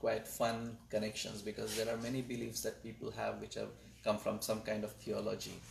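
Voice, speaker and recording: A man speaks with a Marathi accent. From India (Maharashtra). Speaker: astronomer and data scientist. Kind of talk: panel interview. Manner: hesitant, with fillers.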